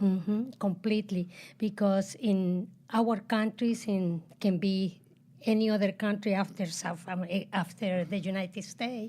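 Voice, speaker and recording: A woman's somewhat breathy, dark, mellow voice at medium pitch, fairly slow and monotone with flat intonation, in a Chilean accent, on a very clean recording with a silent background. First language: Spanish. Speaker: guest, host's mother. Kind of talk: interview.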